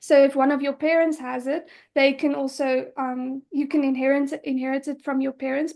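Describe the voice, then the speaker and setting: A woman speaks in a high voice against a quiet background. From South Africa. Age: 20s. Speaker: patient advocate. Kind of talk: interview. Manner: hesitant, many fillers.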